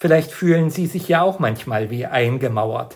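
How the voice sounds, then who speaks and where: The speaker, a man, has a somewhat breathy voice. He uses lively intonation. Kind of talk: scripted devotional talk.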